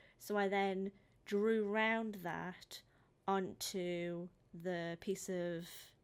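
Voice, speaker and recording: A woman's medium-pitched voice with a British accent and fairly even intonation, on a very clean recording with a silent background. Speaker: painting hobbyist vlogger. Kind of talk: voice-over narration of timelapse. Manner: words end abruptly; hesitant, many pauses.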